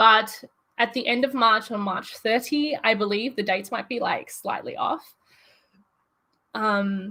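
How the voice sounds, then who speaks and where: With an Australian accent, a woman speaks in a bright, sharp tone at a fairly slow pace, using long, frequent pauses and ordinary pitch variation. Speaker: YouTuber. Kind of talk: casual chat. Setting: livestream. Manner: halting.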